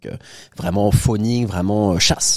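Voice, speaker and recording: With ordinary pitch variation, a plain, everyday voice talks at a fairly quick pace. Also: man. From France, Paris. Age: 30s. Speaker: entrepreneur and property investor. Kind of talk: casual interview chat.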